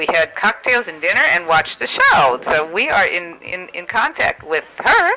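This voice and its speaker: This woman's fairly slow speech swings very widely in pitch, with noticeable background noise around it. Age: 60s. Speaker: real estate agent. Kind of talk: call-in interview.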